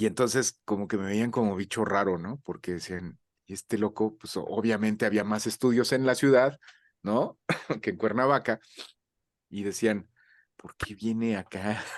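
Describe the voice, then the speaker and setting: A man's fairly low voice at a moderate pace with long, frequent pauses, dry and close with no echo, in a quiet background. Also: fairly even intonation. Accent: Mexican. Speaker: voice actor. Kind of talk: interview. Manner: halting, with many fillers.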